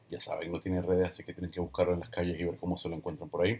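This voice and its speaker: A man talks with a very deep, low pitch and a somewhat breathy quality. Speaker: podcast host and photographer. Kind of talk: casual interview podcast.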